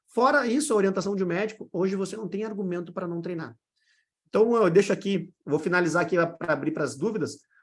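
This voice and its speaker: A man with a high pitch speaks at a very fast pace with ordinary pitch variation. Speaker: fitness coach and online course mentor. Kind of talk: live online mentoring session. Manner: animated.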